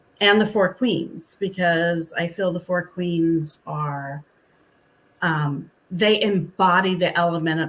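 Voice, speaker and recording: In an unremarkable speaking voice, a woman talks at a fairly slow pace with fairly low pitch and fairly even intonation, on a very clean recording with a silent background. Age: 60s. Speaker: author. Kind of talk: interview.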